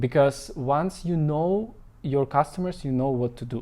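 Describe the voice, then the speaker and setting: Speaking fairly slowly with a non-native accent, a man has a dark, mellow tone and ordinary pitch variation. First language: not English. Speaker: marketing consultant. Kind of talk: live stream talk. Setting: Facebook live. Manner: halting, many fillers.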